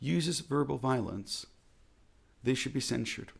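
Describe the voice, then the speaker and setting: With an American accent, a man speaks with vocal fry and very wide swings in pitch. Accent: American accent in Hebrew. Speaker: rabbi. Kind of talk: reflective talk.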